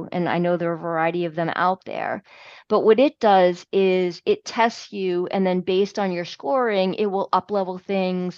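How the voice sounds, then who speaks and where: A woman speaks at a moderate pace in a normal speaking voice, with a medium pitch and fairly even intonation. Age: 50s. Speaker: health and fitness coach. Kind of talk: interview.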